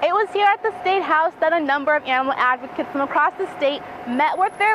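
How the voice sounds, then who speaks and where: Against noticeable background noise, a woman talks at a very fast pace with a high pitch. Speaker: journalist, reporter and anchor. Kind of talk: TV news field report.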